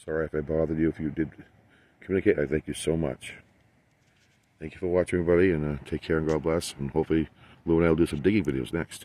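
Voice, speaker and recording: A man speaks very fast in a very deep, low pitch with a dark, mellow tone. His intonation is fairly even, and the sound is dry with no echo. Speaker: ghost hunting vlogger. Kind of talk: casual vlog chat. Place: station. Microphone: phone near.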